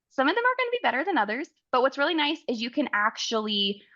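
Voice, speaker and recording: A woman against a quiet background. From Oklahoma. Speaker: travel advisor and software account manager; software trainer. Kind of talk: webinar tutorial. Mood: friendly, enthusiastic.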